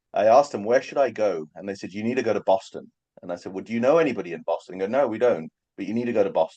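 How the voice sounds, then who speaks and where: The background is quiet. The speaker talks in a London accent. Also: man. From England, London. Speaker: hand surgeon. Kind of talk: casual interview chat.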